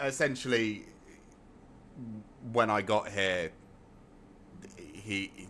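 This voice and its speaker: A man with an English accent and a bright, sharp tone. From England. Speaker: gaming streamer. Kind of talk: live gameplay stream chat.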